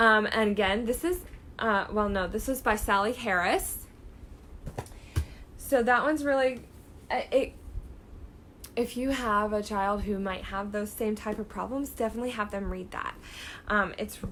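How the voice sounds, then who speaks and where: Speaking in an animated tone at a moderate pace, a woman with a fairly high pitch and ordinary pitch variation leaves long, frequent pauses. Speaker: book seller vlogger. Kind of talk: casual video talk showing books. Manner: animated, many fillers.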